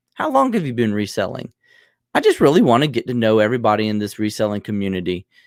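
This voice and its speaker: The recording is very clean, with a silent background. A man speaks with a Southern US accent. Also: dry, close sound with no echo. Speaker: podcast host, reseller. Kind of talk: casual chat.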